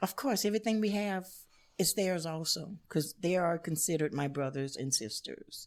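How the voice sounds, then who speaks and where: In an American accent, a woman with a fairly low pitch talks at a moderate pace with lively intonation and very even loudness. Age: 60s. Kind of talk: interview.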